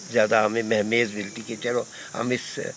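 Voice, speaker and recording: Clear background noise runs underneath as the man talks. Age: 80s+. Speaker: veteran mountaineer and climbing instructor. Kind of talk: interview.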